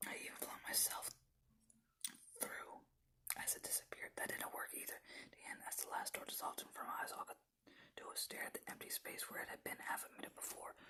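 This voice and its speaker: The speaker is whispering. The pace is very fast. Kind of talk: ASMR horror story narration; first-person story reading.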